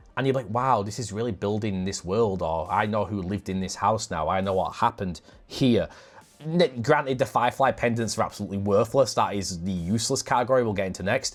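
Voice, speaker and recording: Over music in the background, a man with a northern English accent talks at a fairly quick pace and a fairly low pitch, with ordinary pitch variation. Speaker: podcast host. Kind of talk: casual chat.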